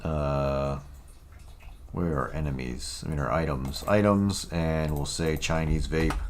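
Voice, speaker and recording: Speaking at a fairly slow pace, a man with a very deep, low pitch and ordinary pitch variation is heard with audible room echo and noticeable background noise. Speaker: game developer streamer. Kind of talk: live coding stream. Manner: casual, hesitant with many fillers.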